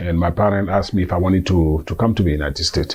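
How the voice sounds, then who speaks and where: A man's very deep, low voice at a very fast pace, fairly even intonation, and noticeable background noise. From Ivory Coast (Agboville, south). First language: Abe, also French. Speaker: immigrant interviewee. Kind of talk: interview. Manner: halting, many fillers.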